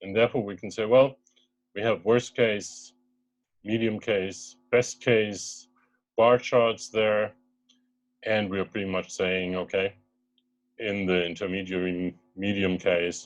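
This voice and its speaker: A man with a German accent and a fairly low pitch, very slow pace, fairly even intonation and long, frequent pauses, over music in the background. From Germany. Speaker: startup co-founder. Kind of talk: investor pitch webinar. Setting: video call.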